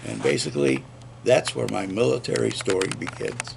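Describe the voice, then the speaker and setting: Against noticeable background noise, a man speaks at a fairly slow pace. His pitch swings very widely. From upstate New York. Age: 70s. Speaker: army veteran and former radio host. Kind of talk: oral history interview. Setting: recorded interview at a veterans center.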